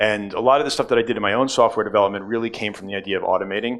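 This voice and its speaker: A man talks at a very fast pace with a New York accent. His pitch is fairly low. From New York, US. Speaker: tech conference speaker. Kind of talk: conference talk. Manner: many filler words.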